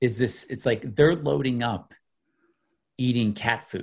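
Against a quiet background, a man with an American accent sounds somewhat breathy. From US Midwest, Illinois outside Chicago. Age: 40s. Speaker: investment educator. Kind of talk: interview.

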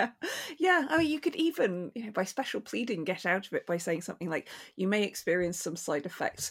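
A woman at a fairly quick pace with very wide pitch swings, in a very clean recording with a silent background. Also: medium pitch for a woman. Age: 40s. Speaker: podcast host. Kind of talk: interview.

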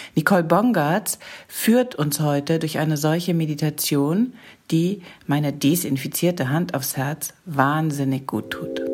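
Over noticeable background noise, a woman with a very deep, low pitch speaks at a fairly slow pace with ordinary pitch variation. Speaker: podcast host. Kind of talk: podcast intro.

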